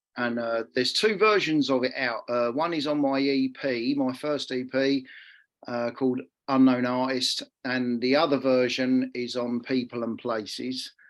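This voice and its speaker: Over a quiet background, a man of medium pitch talks at a fairly slow pace with fairly even intonation. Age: 50s. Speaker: musician. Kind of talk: casual self-introduction. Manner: halting.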